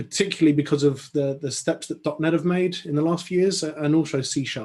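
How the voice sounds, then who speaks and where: The voice has a dark, mellow tone and an English accent. It moves at a fairly quick pace with ordinary pitch variation. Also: man. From London, England. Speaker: software consultant and conference speaker. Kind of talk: technical talk. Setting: online video call. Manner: hesitant, many fillers and repetitions.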